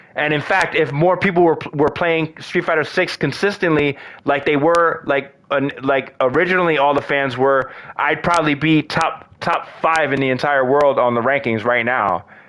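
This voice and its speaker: Keeping his loudness very even, a man speaks at a moderate pace in a fairly high pitch with ordinary pitch variation. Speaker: gaming streamer. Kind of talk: live gameplay commentary. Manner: animated.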